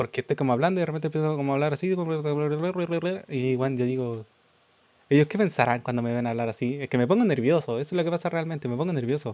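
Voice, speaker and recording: Here a man talks at a very fast pace with a Chilean accent. His tone is dark and mellow, and his pitch varies in an ordinary way. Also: fairly high pitch for a man. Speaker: streamer. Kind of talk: live reaction stream. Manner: sometimes fast, mumbled without moving jaw.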